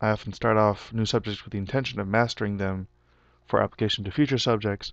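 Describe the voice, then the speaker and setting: Against a quiet background with a dry, close sound and no echo, a man talks fairly quickly with fairly even intonation. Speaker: physics graduate student giving testimonial. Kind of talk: testimony. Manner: halting, with fillers.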